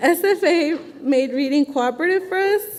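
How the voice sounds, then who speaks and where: Over noticeable background noise, a woman with a Spanish accent speaks with lively intonation. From Phoenix, Arizona. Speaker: teaching assistant and education student. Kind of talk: testimony.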